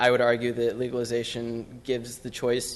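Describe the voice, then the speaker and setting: There is audible room echo as a man speaks at a moderate pace and a medium pitch. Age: 20s. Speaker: public commenter, student. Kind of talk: public comment at council meeting. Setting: city council chamber.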